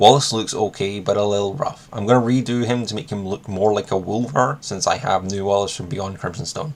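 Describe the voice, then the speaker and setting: A man talks in a Scottish accent at a fairly quick pace, with a fairly low pitch and ordinary pitch variation. Noticeable background noise is present. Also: hardly any pauses. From Scotland. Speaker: miniatures hobby youtuber. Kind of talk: casual video monologue.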